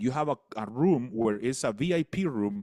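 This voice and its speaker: With a Spanish accent, a man at medium pitch speaks with very wide pitch swings, recorded dry and close with no echo on a very clean track with a silent background. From El Salvador. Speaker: business coach and speaker. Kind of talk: radio interview. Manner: halting, repeats words.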